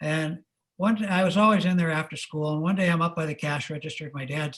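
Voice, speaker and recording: A man with a General American accent, fairly high pitch, fairly even intonation and a very fast pace, in a very clean recording with a silent background. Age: 70s. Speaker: retired business executive and servant leadership speaker. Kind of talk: interview. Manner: conversational, storytelling.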